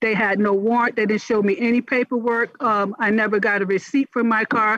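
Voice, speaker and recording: A woman reads at a fairly quick pace with an American accent and a fairly high pitch. Her intonation is fairly even, and the sound is dry and close with no echo. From US South. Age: 60s. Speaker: testifying citizen. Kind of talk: testimony. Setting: congressional hearing. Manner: halting, many fillers. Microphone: too far from the microphone at first.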